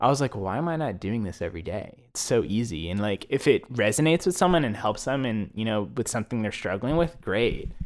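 An unremarkable speaking voice from a man with an American accent, medium-pitched, with lively intonation and a fairly quick pace, hardly any pauses, in a very clean recording with a silent background. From Texas, Plano (Dallas area). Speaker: nonprofit volunteer. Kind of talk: casual interview chat.

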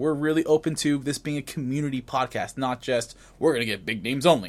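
Someone with a normal speaking voice talks at a fairly quick pace. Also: man. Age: 20s. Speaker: gaming podcast host. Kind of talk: casual chat. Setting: video call.

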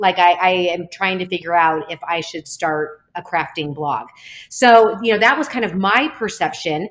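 An ordinary speaking voice at a moderate pace, with lively intonation. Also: woman, fairly low pitch for a woman. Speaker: speech-language pathologist and company founder. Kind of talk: casual interview chat.

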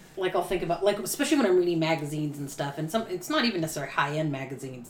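A woman's fairly low voice at a very fast pace, lively intonation, over noticeable background noise. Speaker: podcast co-host. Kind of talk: casual chat.

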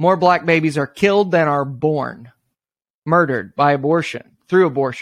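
A man has a plain, everyday voice, fairly high in pitch, with ordinary pitch variation at a moderate pace. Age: 30s. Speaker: pastor and anti-abortion activist. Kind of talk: interview conversation.

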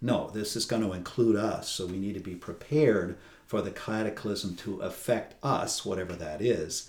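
With an American accent, a man talks at a moderate pace in a normal speaking voice, his pitch fairly low and its variation ordinary. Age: 60s. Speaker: priest. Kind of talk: interview conversation. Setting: on location at a retreat house.

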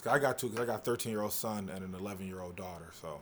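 A man talks at a very fast pace. His fairly low pitch shows ordinary variation. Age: 30s. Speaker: comedian. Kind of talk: casual chat.

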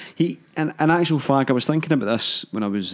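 A man speaks with a Lanarkshire accent. His pace is moderate. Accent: Scottish (Lanarkshire). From Hamilton, Scotland. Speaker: podcast co-host. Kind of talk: casual chat.

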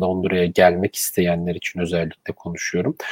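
Dry and close with no echo, a man talks in a dark, mellow tone. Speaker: live stream host. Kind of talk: live stream interview.

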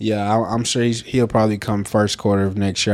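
The man's voice is fairly low and monotone, with flat intonation at a moderate pace. The recording is very clean, with a silent background. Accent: Southern US. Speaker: podcast co-host. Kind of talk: casual chat.

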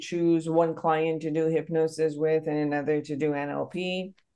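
In a Persian accent, a woman with a dark, mellow tone speaks at a very slow pace. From Iran. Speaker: psychotherapist and podcast host. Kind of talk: interview.

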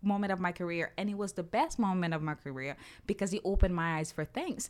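On a very clean recording with a silent background, a woman with a Portuguese accent speaks at a medium pitch and a fairly quick pace. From Brazil. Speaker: podcast co-host. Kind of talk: casual chat.

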